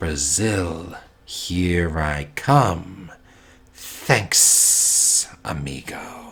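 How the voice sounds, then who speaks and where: In a put-on character voice, a man hisses at a very slow pace. His voice is raspy and very deep and low. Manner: casual, cheerful.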